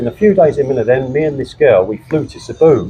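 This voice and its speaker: The speaker has an English accent. Music plays in the background. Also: man. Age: 60s. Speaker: retiree, former classic car importer. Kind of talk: interview. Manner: halting.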